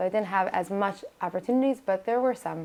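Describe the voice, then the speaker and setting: Over a quiet background, a woman with a New York accent speaks at a medium pitch. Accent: New York American. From US, Brooklyn New York, Israeli home. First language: Hebrew. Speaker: singer and nurse practitioner. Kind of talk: interview.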